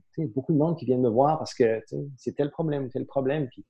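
The voice has a dark, mellow tone, moves at a fairly quick clip and varies in pitch in an ordinary way. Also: man. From Saint-Pierre-et-Miquelon. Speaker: entrepreneur. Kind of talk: casual interview. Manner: halting, many repetitions and fillers.

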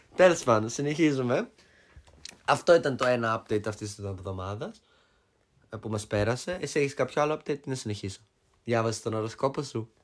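A man's medium-pitched voice with ordinary pitch variation, a fairly quick pace and long, frequent pauses. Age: 20s. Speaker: podcast co-host. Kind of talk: casual chat. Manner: loud. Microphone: cheap mics, sounds a bit bad.

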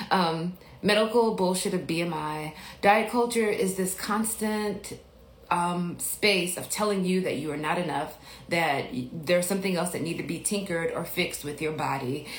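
A woman with an American accent speaks at a moderate pace and a fairly low pitch, with ordinary pitch variation. Noticeable background noise and audible room echo are present. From Mississippi, US South. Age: 40s. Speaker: podcast host and life coach. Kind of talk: casual livestream Q&A. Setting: Instagram livestream.

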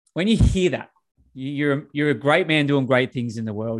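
With an Australian accent, a man speaks at a fairly quick pace in a fairly high pitch. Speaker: podcast host, coach. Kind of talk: podcast interview. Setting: video call. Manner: casual, filler-heavy.

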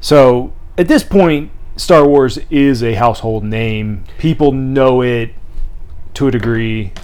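A man talks very slowly amid audible room echo. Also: medium pitch for a man, ordinary pitch variation. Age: 30s. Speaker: podcast co-host. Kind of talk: casual chat.

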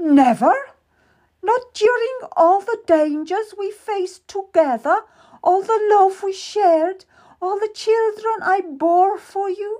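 A woman's put-on character voice, squeaky and extremely high-pitched, at a fairly slow pace. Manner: anguished.

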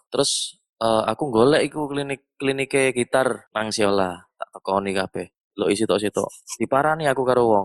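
At a moderate pace and medium pitch, a man speaks with ordinary pitch variation in a dry, close sound with no echo. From Surabaya. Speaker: guitarist, session player. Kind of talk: casual chat. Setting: video call.

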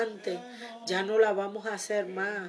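Over background music, a woman with a medium pitch and a warm tone speaks at a fairly slow pace. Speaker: preacher. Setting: radio recording studio. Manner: fervent, earnest and warm; declarative, repeating key phrases with pious exclamations.

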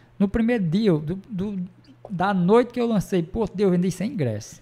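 This man's voice is high-pitched with a dark, mellow tone. He keeps a moderate pace and ordinary pitch variation. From Ceará, Brazil. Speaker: bar owner and show promoter. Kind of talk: casual chat.

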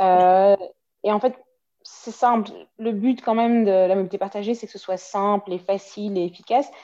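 A woman speaks at a moderate pace and medium pitch, her tone dark and mellow. Her intonation stays fairly even, broken by long, frequent pauses. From Belgium, Waterloo. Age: 30s. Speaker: marketing manager. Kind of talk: casual interview.

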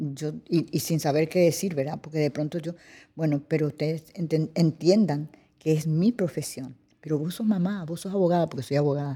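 With a Paraguayan accent, a woman speaks at a moderate pace in a very deep, low voice with a dark, mellow tone. Her pitch variation is ordinary, and the recording is very clean with a silent background. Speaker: actress and cultural manager. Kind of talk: interview. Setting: cultural centre studio.

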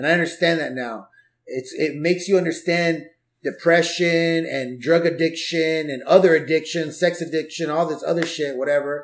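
A man with an American accent speaks at a moderate pace with fairly even intonation. His is an unremarkable speaking voice. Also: fairly high pitch for a man. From Southeast Los Angeles, California. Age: 40s. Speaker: stand-up comedian and life coach. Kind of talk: casual chat. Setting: home garage.

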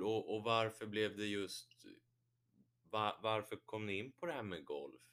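A man's fairly low voice at a fairly slow pace, broken by long, frequent pauses. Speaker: podcast host. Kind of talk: casual interview.

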